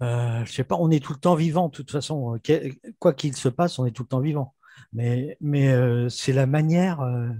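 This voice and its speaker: A man speaks at a moderate pace in a medium-pitched, somewhat breathy voice with a dark, mellow tone and ordinary pitch variation. The very clean recording has a silent background and a dry, close sound with no echo. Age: 60s. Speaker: webinar participant. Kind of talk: spiritual dialogue. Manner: halting.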